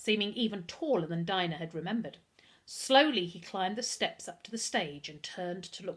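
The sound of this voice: Unforced voice reading aloud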